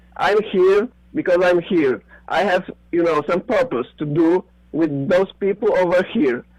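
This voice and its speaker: A man with a non-native accent speaks at a high pitch with lively intonation and very even loudness. The sound is dry and close with no echo. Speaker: conspiracy theorist. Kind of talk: casual chat. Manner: halting.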